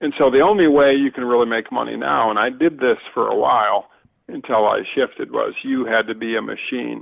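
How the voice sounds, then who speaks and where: Speaking at a fairly quick pace, a man talks with a northern US accent. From Michigan, US Midwest. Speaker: outdoor writer and marketer. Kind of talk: podcast interview.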